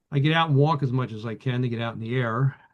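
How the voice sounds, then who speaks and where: A man with a Philadelphia accent, fairly quick pace, medium pitch and ordinary pitch variation. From Philadelphia area. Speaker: vintage radio collector. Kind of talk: casual chat. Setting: video call. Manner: halting, many fillers.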